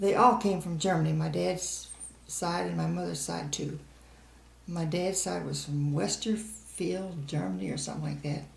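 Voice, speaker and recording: A woman with an American accent at a moderate pace, plus audible room echo. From US Midwest, St. Charles County, Missouri. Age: 80s+. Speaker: oral history interviewee. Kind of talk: oral history interview.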